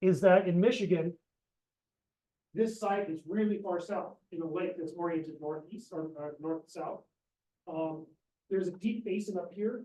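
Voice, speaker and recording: With a dark, mellow tone and fairly even intonation, a man speaks at a high pitch, leaving long, frequent pauses. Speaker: professor and oceanographer. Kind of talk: seminar lecture. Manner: fast; hesitant, many fillers.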